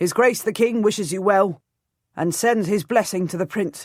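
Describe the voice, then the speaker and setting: A put-on, growling character voice at a middle pitch and moderate pace, in a very clean recording with a silent background. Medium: read story. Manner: formal, guarded.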